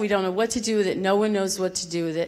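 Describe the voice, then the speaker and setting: A woman talks over noticeable background noise. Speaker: local resident. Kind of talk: public comment. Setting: public meeting in school theater. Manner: emotional, shaky.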